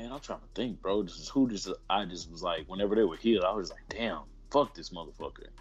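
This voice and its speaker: His volume rises and falls in big swings. The man delivers his words fairly quickly. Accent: Texan. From Houston, Texas. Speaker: professional wrestler. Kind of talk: casual interview.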